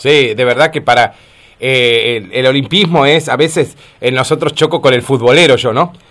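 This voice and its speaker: With an Argentine accent, a man of medium pitch speaks at a moderate pace, with ordinary pitch variation and very even loudness. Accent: Rioplatense Argentine Spanish. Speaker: radio host. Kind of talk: radio interview.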